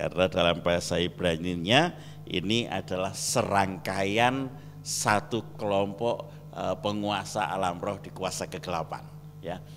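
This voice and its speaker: The speaker has a Javanese accent and a fairly slow pace. Pitch variation is ordinary. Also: man, very deep, low pitch for a man. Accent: Javanese-accented Indonesian. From Java, Indonesia. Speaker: pastor. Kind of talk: sermon.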